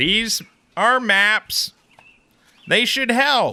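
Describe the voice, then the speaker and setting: A man puts on a character voice, pitching it extremely high. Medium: actual play. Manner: nervous, eager to avoid a fight.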